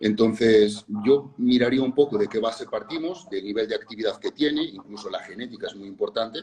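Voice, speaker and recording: A man speaks at a medium pitch and a fairly quick pace, with ordinary pitch movement, hardly any pauses and big swings in loudness. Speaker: fitness and nutrition educator. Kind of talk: interview conversation. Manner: fast.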